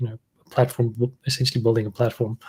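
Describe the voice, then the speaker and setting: At a very fast pace, a man speaks at medium pitch in a somewhat breathy voice. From South Africa. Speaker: machine learning engineering lead. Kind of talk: panel discussion.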